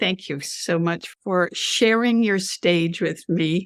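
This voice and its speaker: A woman with an ordinary speaking voice talks at a fairly low pitch and fairly slow pace, with fairly even intonation. The recording is very clean, silent in the background, and dry and close with no echo. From Canada. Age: 60s. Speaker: business strategist and author. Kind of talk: interview chat.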